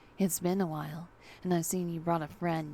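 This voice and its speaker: A husky, put-on character voice at a moderate pace with flat, monotone intonation, over clear background noise. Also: woman, fairly low pitch for a woman. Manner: calm, welcoming.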